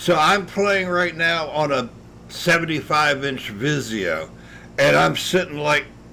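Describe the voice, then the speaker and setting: Speaking at a moderate pace, a man uses a fairly high pitch and a bright, sharp tone with vocal fry and lively intonation. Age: 60s. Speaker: video game streamer. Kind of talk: casual chat. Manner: halting.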